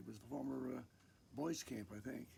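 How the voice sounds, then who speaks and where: A man talks at a fairly quick pace and medium pitch, his dark, mellow tone marked by vocal fry. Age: 80s+. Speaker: retreat center founding member. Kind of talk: casual interview. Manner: halting, repeating words.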